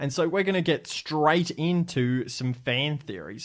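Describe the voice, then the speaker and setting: In a very clean recording with a silent background, a man with an Australian accent speaks at a fairly high pitch with lively intonation. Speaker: podcast host. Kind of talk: casual podcast chat.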